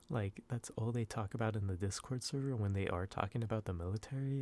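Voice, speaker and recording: A man's dark, mellow tone in a very clean recording with a silent background. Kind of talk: ASMR soft-spoken casual talk to camera. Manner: soft-spoken, rambling, hesitant.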